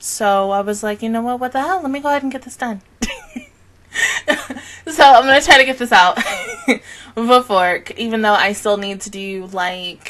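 Lively intonation marks this woman's speech at a moderate pace. Her loudness swings widely. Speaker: anime reaction youtuber. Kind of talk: casual vlog chat. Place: home room. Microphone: studio mic.

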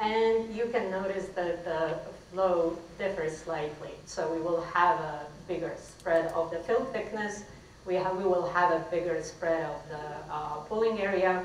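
A woman speaks at a fairly slow pace in a fairly low voice with ordinary pitch variation. Light background noise and audible room echo are present. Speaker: conference presenter. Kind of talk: technical presentation. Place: hall. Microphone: podium.

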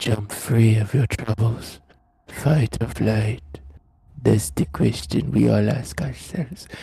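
A man does a put-on character voice at a medium pitch with very wide pitch swings. He talks at a fairly slow pace. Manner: ASMR, soft and soothing.

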